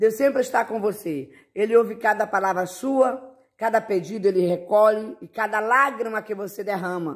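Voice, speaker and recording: At a moderate pace, a man speaks in a high pitch. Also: very clean recording, silent background. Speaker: preacher. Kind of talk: sermon. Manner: fervent, rising preacher's cadence, declaring promises; warm, affectionate, reassuring.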